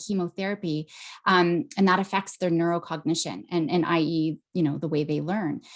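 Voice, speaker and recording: A woman's unremarkable speaking voice at a moderate pace, with ordinary pitch variation. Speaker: psychologist. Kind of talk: webinar presentation.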